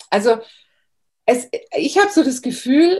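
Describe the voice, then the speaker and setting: Dark and mellow in tone, a woman speaks at a very slow pace with very wide pitch swings. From Bavaria, Germany. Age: 40s. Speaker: herbalist. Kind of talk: interview.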